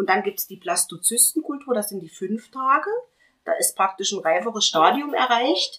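Her fairly high pitch and bright, sharp tone carrying lively intonation, a woman speaks at a moderate pace with big swings in loudness. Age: 40s. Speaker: patient sharing fertility treatment experience. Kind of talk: casual group conversation, personal testimony.

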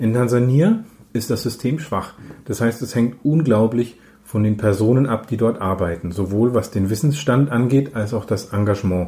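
The man's somewhat breathy voice has a dark, mellow tone and moves at a moderate pace. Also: medium pitch for a man, ordinary pitch variation. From Middle Franconia, Nuremberg. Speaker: paediatrician. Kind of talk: interview.

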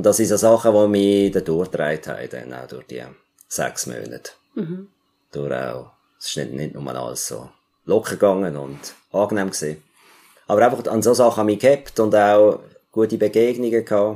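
Long, frequent pauses break up a man's speech, his tone dark and mellow and his pitch swinging very widely. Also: moderate pace. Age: 50s. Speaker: music teacher and theologian. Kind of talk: interview. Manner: halting.

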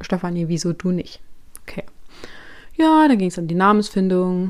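Medium in pitch with ordinary pitch variation, a woman's voice moves at a moderate pace on a very clean recording with a silent background. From Thuringia, Germany. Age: 30s. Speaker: podcast host and coach. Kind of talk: solo podcast monologue. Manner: casual, chatty.

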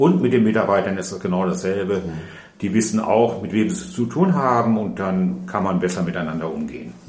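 Over noticeable background noise and audible room echo, the voice moves at a fairly quick pace with ordinary pitch variation. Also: man, fairly low pitch for a man. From Ruhr area, Germany. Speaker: retired nurse. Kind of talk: interview.

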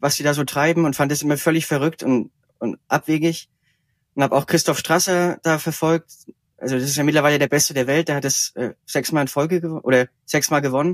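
Fairly quick and fairly even in intonation, a man with a normal speaking voice and a fairly high pitch is heard in a very clean recording with a silent background and a dry, close sound with no echo. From Franconia, Germany. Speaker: ultracycling racer. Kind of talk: interview.

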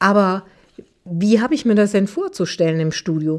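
With an Aachen accent, a woman at medium pitch talks at a moderate pace with very wide pitch swings. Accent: Aachen regional colouring. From Aachen, Germany. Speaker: business journalist and podcast host. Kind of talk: interview conversation. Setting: studio.

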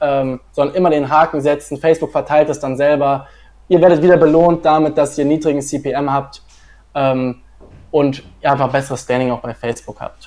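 Intonation is monotone and flat. The pace is moderate. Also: man, fairly high pitch for a man. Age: 20s. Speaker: marketing agency founder. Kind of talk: livestream interview.

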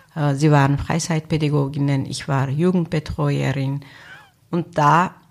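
A woman speaks very slowly with a Turkish accent and a very deep, low pitch. Her intonation is monotone and flat. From Turkey. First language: Turkish (speaking German). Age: 50s. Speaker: social worker, association founder. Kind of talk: interview. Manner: hesitant with filler sounds.

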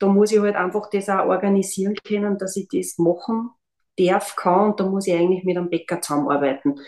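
A woman's normal speaking voice at a medium pitch, fairly quick in pace and ordinary in pitch variation. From Austria, Linz. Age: 50s. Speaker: biomedical analyst and gluten-free baker. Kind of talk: casual chat.

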